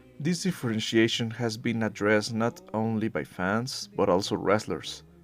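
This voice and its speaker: A man with a non-native accent speaks at medium pitch and a moderate pace, his intonation lively. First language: not English. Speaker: wrestling commentary YouTuber. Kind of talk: scripted video essay.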